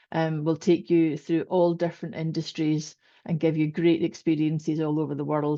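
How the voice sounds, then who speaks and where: A woman with a Scottish accent and a fairly low pitch. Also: quiet background. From Scotland. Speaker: corporate communications volunteer. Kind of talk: panel introduction.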